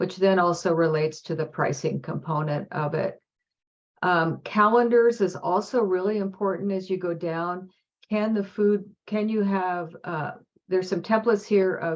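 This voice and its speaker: A woman talks at a moderate pace and medium pitch, with ordinary pitch variation. She has a plain, everyday voice. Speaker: food systems program presenter. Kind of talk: webinar presentation.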